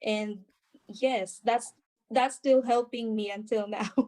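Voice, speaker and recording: Her voice is fairly high, with ordinary pitch variation. This woman talks at a fairly slow pace in a Filipino accent. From Philippines. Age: 30s. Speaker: nurse. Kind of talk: interview answer.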